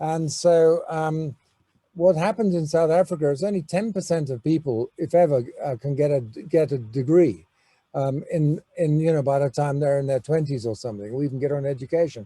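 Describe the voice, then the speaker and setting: In an English accent, a man with a fairly high pitch and a dark, mellow, somewhat breathy tone speaks at a moderate pace with ordinary pitch variation. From England. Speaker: business school educator. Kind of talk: welcome address. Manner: halting, many fillers.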